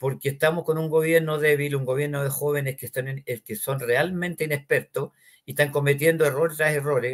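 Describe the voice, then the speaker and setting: The speaker is a man with a fairly high pitch. There is a somewhat breathy quality to his voice. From Chile. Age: 80s+. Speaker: talk show host, senior citizens' association president. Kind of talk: interview.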